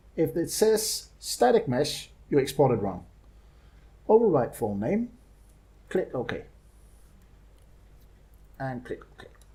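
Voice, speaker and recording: A man with a fairly high pitch and a dark, mellow tone speaks very slowly with vocal fry, long, frequent pauses, very wide pitch swings and big swings in loudness. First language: not English. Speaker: game modder. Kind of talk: screen-recorded software tutorial. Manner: hesitant, many filler sounds.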